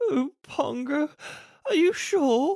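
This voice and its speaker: This man's voice is a put-on character voice. It sits at an extremely high pitch. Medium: read story.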